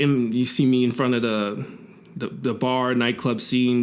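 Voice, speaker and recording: At a fairly slow pace, a man talks at medium pitch in a monotone, flat intonation. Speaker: musician and multidisciplinary artist. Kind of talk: interview. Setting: recording studio. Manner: laid back.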